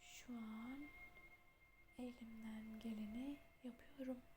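Soft-spoken and calm in tone, the voice moves at a very slow pace against noticeable background noise. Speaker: meditation guide. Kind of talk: guided meditation, ASMR. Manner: soft-spoken, slow, calm.

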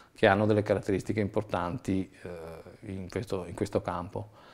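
Dark, mellow tone with fairly even intonation at a fairly quick pace. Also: man. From Treviso, Veneto, northern Italy. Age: 40s. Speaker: bicycle entrepreneur, former car salesman. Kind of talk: video interview presentation. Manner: hesitant with frequent fillers. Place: home room. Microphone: lapel.

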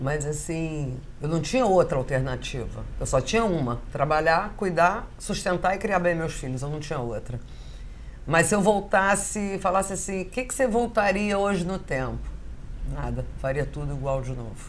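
A woman's fairly low voice with lively intonation and vocal fry, over light background noise. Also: moderate pace. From Rio de Janeiro, Brazil. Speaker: caterer; interviewee. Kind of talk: casual interview chat. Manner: animated. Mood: candid, personal, reflective. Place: home room. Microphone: lapel.

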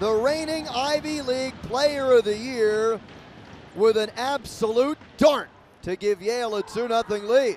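A man speaks at an extremely high pitch with ordinary pitch variation. His pace is fairly slow, and noticeable background noise is present. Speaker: play-by-play announcer. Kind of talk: live commentary. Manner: excitable on goals.

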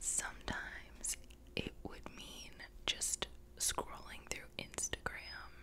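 Someone whispers at a very slow pace. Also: woman. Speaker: video creator. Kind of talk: casual vlog chat. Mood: candid, reflective about anxiety. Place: home room. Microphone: studio mic.

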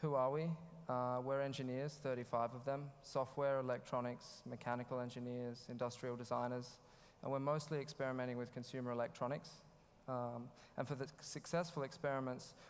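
Speaking fairly quickly, a man keeps his intonation monotone and flat. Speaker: conference speaker. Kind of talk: conference talk. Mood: slightly nervous, friendly. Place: hall. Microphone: headset.

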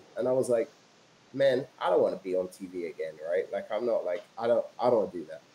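Over light background noise, a man with a British accent talks at a fairly quick pace with ordinary pitch variation. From England, London. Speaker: entrepreneur and filmmaker. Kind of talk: interview. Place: home room. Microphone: video call.

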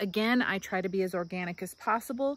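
Her intonation fairly even, a woman speaks in a dry sound with no echo. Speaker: home gardener vlogger. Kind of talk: casual vlog chat. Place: garden. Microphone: phone near.

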